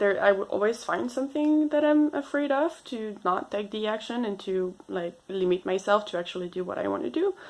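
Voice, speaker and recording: With a French accent, the speaker moves at a fairly quick pace with hardly any pauses and very wide pitch swings. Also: woman, fairly high pitch for a woman. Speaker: vlogger. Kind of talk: unscripted personal vlog. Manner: halting, hesitant.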